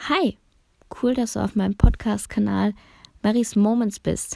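The recording of this woman's voice is very clean, with total silence behind her. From Bosnia, raised in Germany from early childhood. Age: 20s. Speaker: podcaster. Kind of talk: personal monologue, casual.

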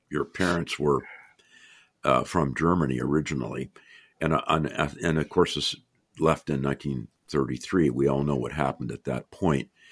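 Vocal fry marks this moderate-paced speech, captured on a very clean recording with a silent background. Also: man. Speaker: podcast host and economics professor. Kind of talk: interview.

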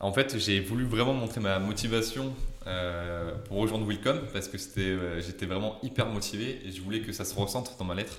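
Ordinary pitch variation from a male speaker, with room echo clearly audible. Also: fairly low pitch for a man, moderate pace. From southern France (Marseille area). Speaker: junior software developer. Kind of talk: interview. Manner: halting.

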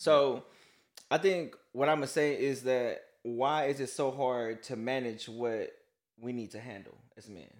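A man's normal speaking voice at a medium pitch, at a fairly slow pace with ordinary pitch variation and big swings in loudness, in a very clean recording with a silent background. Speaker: co-host. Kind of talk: casual faith-based podcast discussion.

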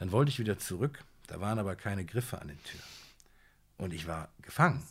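A man's somewhat breathy, fairly low voice with lively intonation at a moderate pace. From Siegen, North Rhine-Westphalia, Germany. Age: 40s. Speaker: TV judge and author. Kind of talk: casual interview.

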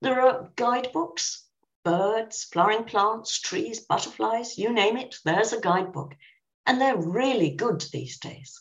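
Fairly slow, lively speech from a woman with a southern English accent and a fairly high pitch. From southern England. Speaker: professor and author. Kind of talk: interview.

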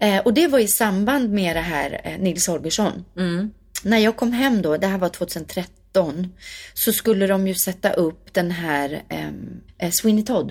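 Somewhat breathy and pitched in the middle range, a woman speaks at a fairly slow pace with lively intonation over a very clean recording with a silent background. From Sweden, Värmdö near Stockholm. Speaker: singer and actress. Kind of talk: interview conversation.

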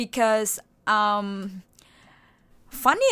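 A woman's voice sits at medium pitch with a bright, sharp tone. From Cambodia. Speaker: college student. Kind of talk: casual interview chat. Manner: talkative, rambling.

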